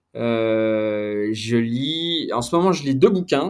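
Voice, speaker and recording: A man with a medium-pitched voice talks over a very clean recording with a silent background. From France, Besançon. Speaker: sports journalist. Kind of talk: casual interview. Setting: podcast. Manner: hesitant, many fillers.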